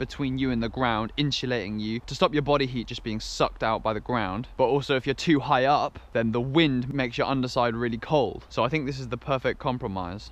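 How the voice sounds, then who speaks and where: A man speaks with fairly even intonation and hardly any pauses. The sound is dry, with no echo. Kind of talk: casual vlog chat. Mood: relaxed, content morning. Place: forest. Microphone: phone near.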